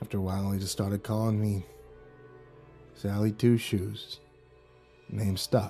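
Doing a put-on character voice, a man rumbles along in a fairly low, flat monotone at a moderate pace, with long, frequent pauses and clear music in the background. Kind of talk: casual tough-guy storytelling. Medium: voice reel. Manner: sheepish, then sour and grumbling.

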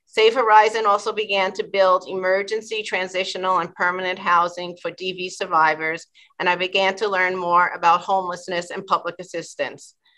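Against a quiet background, a woman with an American accent and a bright, sharp tone talks at a fairly quick pace in a monotone, flat intonation, with hardly any pauses. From New York City, the Bronx. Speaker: attorney, state agency commissioner nominee. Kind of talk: confirmation hearing testimony. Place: office. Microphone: video call.

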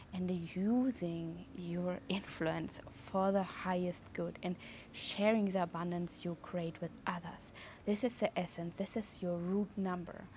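A woman talks at a fairly slow pace with fairly even intonation, sounding somewhat breathy. The sound is dry with no echo, over light background noise. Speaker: numerology teacher. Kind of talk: tutorial. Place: garden. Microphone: lapel.

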